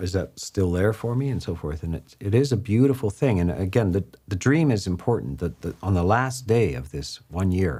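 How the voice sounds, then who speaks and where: On a very clean recording with a silent background, a man with an American accent speaks at a moderate pace with hardly any pauses, his fairly low, dark, mellow voice somewhat breathy and his intonation lively. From US West Coast. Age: 70s. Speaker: Buddhist monk, abbot. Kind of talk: dharma talk conversation. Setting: livestream at monastery.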